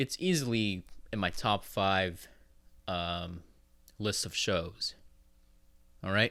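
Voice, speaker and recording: The recording is very clean and the background silent. A man talks in a fairly low voice. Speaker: podcast host. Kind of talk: casual solo podcast monologue. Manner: rambling, halting with fillers.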